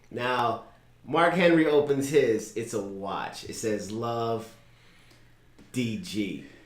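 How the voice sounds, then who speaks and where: This man talks at a very slow pace with long, frequent pauses, his medium pitch carried by lively intonation. His loudness swings widely, and the room echo is audible. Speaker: wrestling podcast co-host. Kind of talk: casual chat. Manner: animated.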